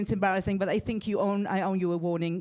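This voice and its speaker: Someone speaks at a very fast pace with an Israeli accent. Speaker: stand-up comedian. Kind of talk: stand-up. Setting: stage with audience.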